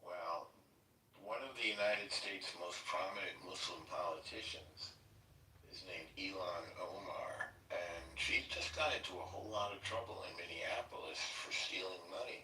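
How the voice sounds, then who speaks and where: A man with an American accent speaks at a moderate pace. Noticeable background noise and audible room echo are present. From Chicago, US Midwest. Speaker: political livestream host. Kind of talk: casual chat.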